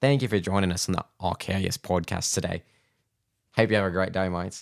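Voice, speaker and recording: In a put-on character voice, a man talks fairly quickly with an Australian accent, raspy and very deep in pitch, his intonation fairly even. The recording is very clean with a silent background and a dry, close sound with no echo. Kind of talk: casual, 'mates' sign-off.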